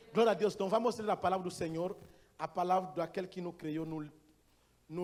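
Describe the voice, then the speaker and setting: With a non-native accent, a man speaks at a high pitch, his intonation fairly even. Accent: foreign accent in Portuguese. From Gabon. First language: not Portuguese (speaking Portuguese). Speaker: missionary pastor. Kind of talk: sermon. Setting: church. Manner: halting.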